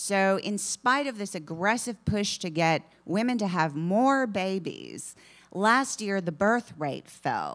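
Against a quiet background, a woman speaks at a medium pitch. Her delivery is very slow, with lively intonation. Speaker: author; author on panel. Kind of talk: panel discussion. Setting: stage with audience. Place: shop. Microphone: podium.

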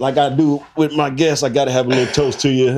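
Over a quiet background, a man speaks in a dark, mellow tone with fairly even intonation. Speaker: podcast host. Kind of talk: casual interview intro. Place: studio. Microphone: studio mic.

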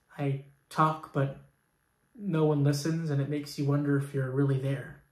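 A deadpan, somewhat breathy man at a fairly high pitch and moderate pace, monotone and flat, with audible room echo and a quiet background. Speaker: actor. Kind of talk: stand-up comedy monologue. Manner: deadpan, self-deprecating, stammering and halting with false starts; awkward, nervous delivery with rhetorical asides to the audience. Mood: deadpan, wistful. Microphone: phone near.

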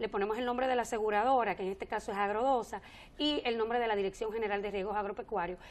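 Fairly high-pitched and fairly even in intonation, a woman speaks at a very fast pace. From Dominican Republic, northwest (Montecristi); Dominican Republic. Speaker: government agency director; guest. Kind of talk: TV interview. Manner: halting, many repetitions and fillers.

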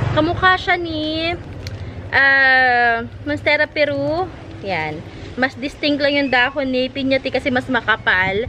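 A raised, projected voice comes at a fairly slow pace with lively intonation over light background noise. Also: woman. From Philippines. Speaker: plant seller vlogger. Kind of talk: casual vlog sales talk. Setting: outdoors in garden. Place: garden.

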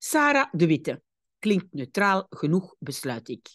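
Very slowly, a woman speaks at a medium pitch with vocal fry and very wide pitch swings. The sound is dry and close with no echo, with a quiet background. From Belgium. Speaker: language teacher. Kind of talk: tutorial. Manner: didactic, explaining.

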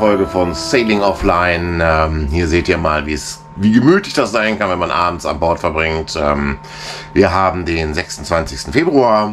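Music plays behind a man as he talks. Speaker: sailing vlogger. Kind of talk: casual vlog chat. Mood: relaxed, cozy evening. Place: boat. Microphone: phone near.

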